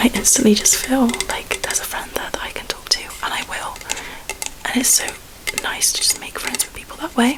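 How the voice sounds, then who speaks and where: A woman whispers at a fairly quick pace in a relaxed tone. Background noise is noticeable. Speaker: ASMR creator. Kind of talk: ASMR ramble to camera. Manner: soft-spoken, whispered, relaxed.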